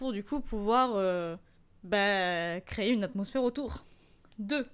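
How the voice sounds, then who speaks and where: The intonation is lively and the tone animated. The recording is very clean, with a silent background. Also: woman. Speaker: e-commerce podcast host. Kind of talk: solo tutorial podcast.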